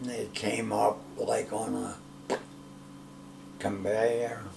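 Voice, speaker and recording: Background noise is noticeable throughout. Over it, a man talks at a very slow pace. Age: 80s+. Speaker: Navy veteran. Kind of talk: interview answer.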